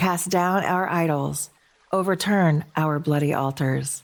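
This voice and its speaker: A woman talks in a gentle, calm tone with fairly even intonation. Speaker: podcast host and narrator. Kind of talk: poetry reading as sleep story.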